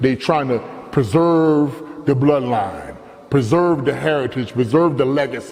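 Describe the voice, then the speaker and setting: Over noticeable background noise, a man with an American accent speaks at a fairly quick pace in an animated tone, medium pitch and ordinary pitch variation. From Baltimore, Maryland. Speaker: storyteller. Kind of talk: personal monologue.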